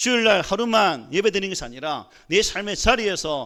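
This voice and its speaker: The voice has a bright, sharp tone and lively intonation at a fairly quick pace. The recording is very clean, with a silent background. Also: man. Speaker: pastor. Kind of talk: sermon. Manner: conversational, asks congregation questions.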